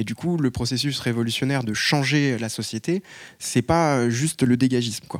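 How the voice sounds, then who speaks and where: This is a plain, everyday voice with ordinary pitch variation at a moderate pace. The recording is very clean, with a silent background. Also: man, medium pitch for a man. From Paris. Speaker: activist. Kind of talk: public panel debate.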